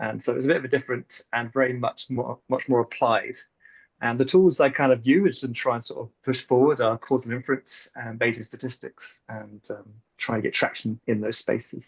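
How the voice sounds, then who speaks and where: A man with a medium pitch speaks at a fairly quick pace and with fairly even intonation, his voice somewhat breathy and his loudness swinging widely, in a dry, close sound with no echo. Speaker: statistical scientist. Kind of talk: webinar panel discussion. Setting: video call.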